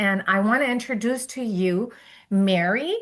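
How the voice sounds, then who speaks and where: Against a quiet background, a woman with a Spanish accent talks at a medium pitch with ordinary pitch variation. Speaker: education consultant. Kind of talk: panel moderation.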